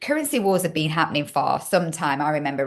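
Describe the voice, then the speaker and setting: A woman with a Yorkshire accent talks at a fairly quick pace in a very deep, low pitch. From Yorkshire, northern England. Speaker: podcast host. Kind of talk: casual interview chat.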